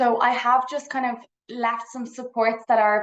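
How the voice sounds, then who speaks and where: Here a woman speaks in an Irish accent. Her intonation is monotone and flat. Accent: Irish, noticeable. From Ireland, Dublin. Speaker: psychology researcher. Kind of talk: conference presentation. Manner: fast.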